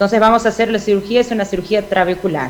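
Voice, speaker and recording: A woman with a Portuguese accent and a fairly high pitch, over noticeable background noise. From Brazil. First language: Portuguese (speaking Spanish). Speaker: ophthalmologist, glaucoma surgeon. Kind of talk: conference lecture. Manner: halting, many fillers and self-corrections.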